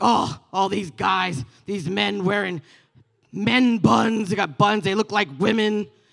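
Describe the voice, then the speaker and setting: A man puts on a gruff character voice pitched high. He talks at a fairly slow pace. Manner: grumpy, disapproving.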